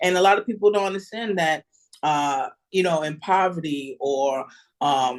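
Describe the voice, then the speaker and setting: A woman with a New York accent, lively intonation and a moderate pace, against a quiet background. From New York City (Bronx). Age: 30s. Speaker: podcaster. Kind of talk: casual chat.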